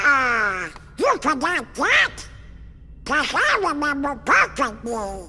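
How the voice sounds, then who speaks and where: The speaker uses a put-on character voice at a very slow pace. Clear background noise is present. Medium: video game. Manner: squawky, blustering.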